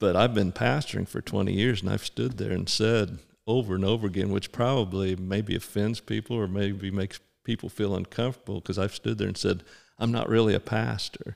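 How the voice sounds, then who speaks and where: A man with a fairly low voice and vocal fry talks at a fairly quick pace, with ordinary pitch variation. The recording is very clean, with a silent background. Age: 60s. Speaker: pastor. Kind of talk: casual chat.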